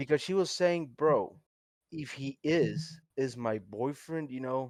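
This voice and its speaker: The speaker goes at a very slow pace in a Spanish accent, with ordinary pitch variation. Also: man, fairly high pitch for a man. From Colombia. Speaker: podcast co-host. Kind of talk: casual chat. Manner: animated.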